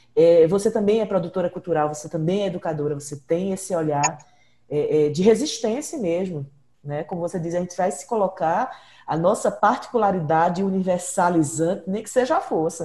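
A woman speaks at a moderate pace in a medium pitch, her voice somewhat breathy with a dark, mellow tone. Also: ordinary pitch variation. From Brazil, Northeast (born in Ceará, raised in Pernambuco). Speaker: podcast host and researcher. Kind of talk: interview.

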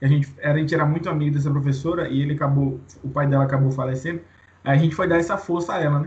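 A man with a fairly high pitch talks at a very fast pace. His voice is somewhat breathy and flat, in a monotone. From Bahia, Brazil (Santo Antônio de Jesus). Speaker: podcast co-host. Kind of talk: casual chat.

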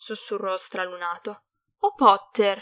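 There is a quiet background. Over it comes an unforced reading voice.

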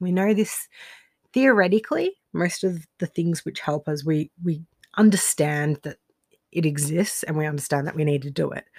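The speaker has an Australian accent and ordinary pitch variation at a moderate pace. The sound is dry and close, with no echo. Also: woman, fairly low pitch for a woman. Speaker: life coach and podcast host. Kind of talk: solo monologue podcast. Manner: casual with frequent fillers and laughs.

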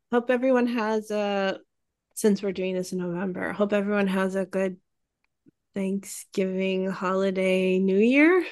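Over a quiet background, a woman speaks at a fairly slow pace. It's a normal speaking voice, medium in pitch with fairly even intonation. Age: 40s. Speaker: children's book illustrator and podcast co-host. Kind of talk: casual chat.

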